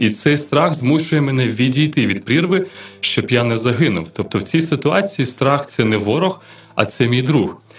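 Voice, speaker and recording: This man has an unremarkable speaking voice at a fairly high pitch. He talks at a moderate pace with lively intonation. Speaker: radio host. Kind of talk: radio Q&A programme. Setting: radio studio.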